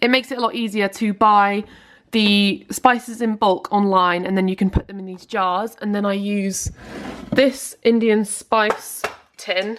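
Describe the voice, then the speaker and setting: A woman with a British accent speaks at a medium pitch in an upbeat tone. Her pace is fairly slow, with big swings in loudness. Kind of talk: casual vlog talk to camera. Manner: chatty, upbeat.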